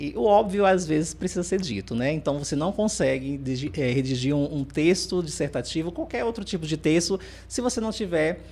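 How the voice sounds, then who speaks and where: A man with a Ceará accent talks at a fairly quick pace, his fairly high pitch showing ordinary variation. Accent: Northeastern Brazilian (Ceará). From Northeast Brazil, interior of Ceará. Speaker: teacher and speaker. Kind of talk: podcast interview.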